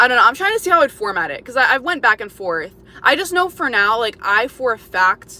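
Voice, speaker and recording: A woman with an American accent talks at a high pitch and a fairly quick pace, her pitch swinging very widely. Noticeable background noise sits behind her. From Florida, US. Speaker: livestreamer. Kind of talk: casual chat. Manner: casual, filler-heavy.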